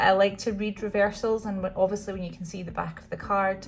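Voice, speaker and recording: A woman's medium-pitched voice in a Scottish accent. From Scotland. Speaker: tarot deck reviewer. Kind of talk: product walkthrough. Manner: hesitant, many fillers.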